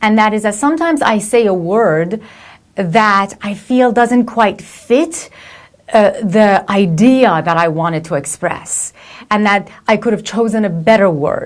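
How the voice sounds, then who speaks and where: The woman's pitch sits in the medium range and her intonation is lively. She talks at a fairly slow pace. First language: not English. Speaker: motivational speaker and coach. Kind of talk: reflective video monologue. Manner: hesitant, many fillers and restarts.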